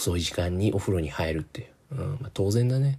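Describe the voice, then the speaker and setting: A man's fairly low, dark and mellow voice, somewhat breathy, with lively intonation at a moderate pace on a very clean recording with a silent background. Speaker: solo podcast host. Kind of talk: casual solo monologue. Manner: relaxed and rambling.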